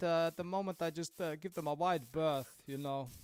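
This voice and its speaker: A man speaks with a high-pitched voice. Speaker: video game streamer. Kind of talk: casual live stream chat. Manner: halting, many fillers.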